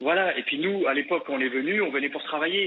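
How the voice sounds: Fast and fairly high-pitched, a man talks with ordinary pitch variation and a slightly husky edge.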